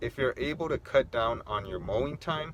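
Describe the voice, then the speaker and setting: A man talking at a moderate pace. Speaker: lawn care youtuber. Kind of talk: casual vlog talk. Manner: halting, with fillers and restarts.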